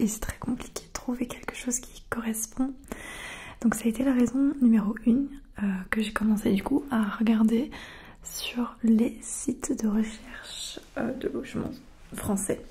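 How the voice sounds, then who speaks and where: A soft-spoken woman at a fairly slow pace, with fairly even intonation. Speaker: ASMR creator. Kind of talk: casual soft-spoken Q&A chat. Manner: soft, close-mic ASMR speaking voice. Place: home room. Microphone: studio mic.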